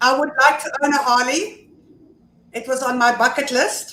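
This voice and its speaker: A woman speaks in a raised, projected voice at a fairly slow pace, with audible room echo. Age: 60s. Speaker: motorcycle club officer. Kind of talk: casual chat.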